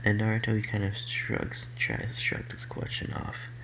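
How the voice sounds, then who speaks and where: Over noticeable background noise and audible room echo, a soft-spoken man talks at a moderate pace with very wide pitch swings. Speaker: youtuber telling fan fiction story. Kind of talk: casual story narration. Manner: halting, many fillers. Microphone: quiet, needs volume up.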